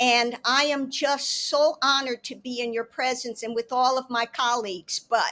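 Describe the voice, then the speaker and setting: Loud and with a bright, sharp tone, a woman speaks at a fairly slow pace in a high voice with ordinary pitch variation. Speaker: panelist. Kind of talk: panel discussion. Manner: animated.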